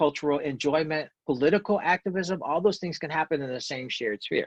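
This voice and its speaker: A man with an American accent, an unremarkable speaking voice, fairly high pitch, and a fairly quick pace. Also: quiet background. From US South. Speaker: professor. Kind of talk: video call talk.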